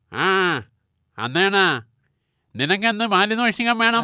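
A cartoonish character voice at a fairly high pitch moves at a very slow pace in a very clean recording with a silent background. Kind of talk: comic cartoon voice acting. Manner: gruff, commanding.

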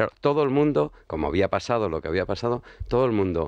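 A man at a fairly quick pace, fairly low in pitch, in dry sound with no echo and a quiet background. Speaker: political commentator. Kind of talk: radio talk show debate. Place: studio. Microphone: studio mic.

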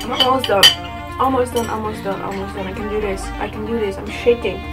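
A woman talks at a very fast pace. Loud music plays in the background. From Netherlands. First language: Dutch. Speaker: vlogger. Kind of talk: casual talk to camera. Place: home room. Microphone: phone near.

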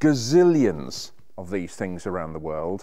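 In a quiet background, a man talks at a fairly slow pace with a fairly low pitch and a dark, mellow tone. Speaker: presenter. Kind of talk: presenter piece to camera. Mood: warm, enthusiastic, wry. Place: workshop.

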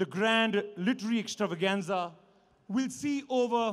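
A man speaks in a high voice. His pace is fairly slow. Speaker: event host. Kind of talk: formal welcome address. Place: stage. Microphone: podium.

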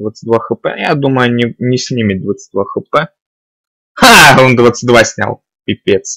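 A man's voice, dry and close with no echo. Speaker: gaming video creator. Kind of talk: let's play commentary. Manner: casual, thinking aloud.

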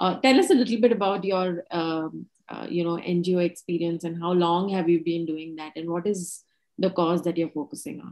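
Over a quiet background, a woman with a fairly low voice talks at a moderate pace with ordinary pitch variation. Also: big swings in loudness. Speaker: company co-founder and session host; session host. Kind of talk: interview. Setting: video call. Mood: friendly, relaxed. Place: home room. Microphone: video call.

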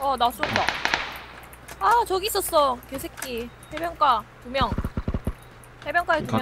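With noticeable background noise, a woman in a Gyeongsang accent speaks with long, frequent pauses. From South Korea. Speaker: game streamer. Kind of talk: casual gaming voice chat. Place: home room.

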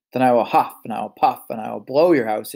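A man puts on a growling character voice at a medium pitch. He talks at a fairly quick pace.

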